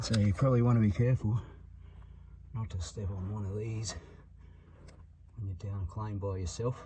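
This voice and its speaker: A man with an Australian accent speaks at a moderate pace, with a fairly low pitch and ordinary pitch variation. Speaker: opal miner. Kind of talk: documentary vlog. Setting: underground mine. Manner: soft-spoken.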